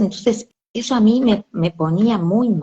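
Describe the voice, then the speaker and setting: A woman's voice in a Rioplatense accent. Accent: Argentine Rioplatense Spanish. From Argentina. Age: 60s. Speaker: bereaved mother. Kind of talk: interview. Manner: halting.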